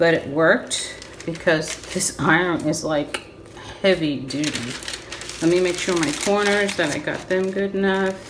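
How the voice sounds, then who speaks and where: A woman speaks fairly slowly in a fairly low voice with ordinary pitch variation. Noticeable background noise and audible room echo surround her. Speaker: crafter. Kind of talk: tutorial. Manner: loud; quieter than usual.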